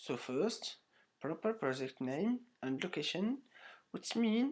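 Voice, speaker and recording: Very slowly and with very wide pitch swings, a man with a non-native accent speaks in a very clean recording against a silent background. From Morocco. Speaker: online course student. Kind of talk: tutorial. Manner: halting.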